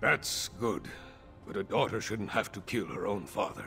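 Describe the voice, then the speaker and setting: A man's put-on character voice, raspy and fairly low-pitched, at a moderate pace over clear background music. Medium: video game. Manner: blunt, hearty.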